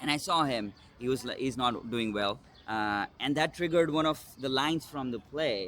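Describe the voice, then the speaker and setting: A man talks at a medium pitch and moderate pace, his pitch showing ordinary variation. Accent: Indian. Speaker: solo stage actor and producer. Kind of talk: interview. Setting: in-person interview. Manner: hesitant, many fillers.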